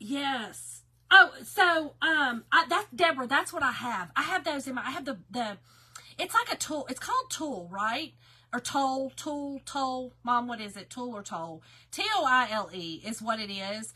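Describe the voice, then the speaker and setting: Speaking with a Southern US accent, a woman uses a high, raised and projected voice at a moderate pace. Her pitch swings very widely, and her loudness swings a lot too. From Kentucky. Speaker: craft live-stream host. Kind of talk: live stream craft tutorial. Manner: casual, chatty.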